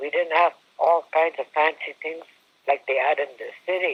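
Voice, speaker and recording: Fairly high in pitch, a man with a Canadian accent speaks at a fairly slow pace and with fairly even intonation. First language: Algonquin. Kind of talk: personal storytelling. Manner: halting.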